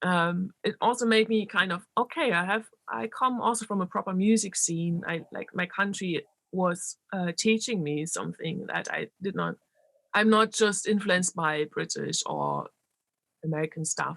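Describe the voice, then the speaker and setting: Speaking at a moderate pace with a German accent, a woman uses a medium pitch and ordinary pitch variation in a dry, close sound with no echo. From Germany, Berlin. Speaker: electronic musician and DJ. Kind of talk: interview. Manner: animated; halting.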